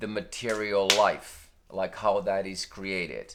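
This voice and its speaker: A man with a non-native accent speaks at a very slow pace. His pitch is fairly low, and the recording is very clean with a silent background. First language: not English. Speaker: spiritual video creator. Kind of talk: unscripted spiritual monologue. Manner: halting, many fillers and restarts.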